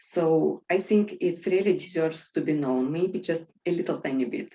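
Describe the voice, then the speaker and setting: With a Russian accent, a woman talks at a moderate pace in a fairly low pitch, her tone dark and mellow. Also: ordinary pitch variation. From Siberia, Russia (Tomsk). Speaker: host. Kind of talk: interview chat.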